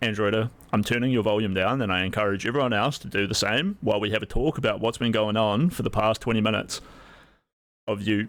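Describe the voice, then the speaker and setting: A man puts on a booming character voice at medium pitch, rattling along at a very fast pace with fairly even intonation. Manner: authoritative, admonishing.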